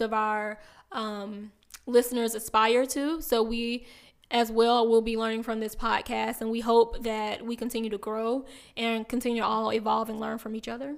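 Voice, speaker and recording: In a Southern US accent, a woman speaks at a moderate pace, fairly high in pitch and monotone with flat intonation, on a very clean recording with a silent background. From South Carolina, small town near Aiken. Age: 30s. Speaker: podcast co-host. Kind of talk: casual chat.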